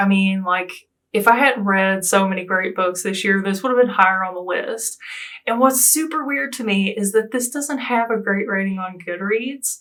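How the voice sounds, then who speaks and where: Speaking with an American accent, a woman uses a medium pitch with ordinary pitch variation. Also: moderate pace. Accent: Southern US accent, self-described hillbilly. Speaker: booktuber. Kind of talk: casual book review vlog. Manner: animated.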